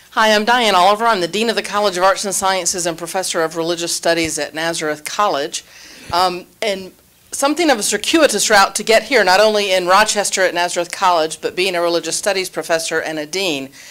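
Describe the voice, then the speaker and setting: Over noticeable background noise, a woman with an American accent talks at a very fast pace with ordinary pitch variation. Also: medium pitch for a woman. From Alabama. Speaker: college dean and professor. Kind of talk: panel introduction.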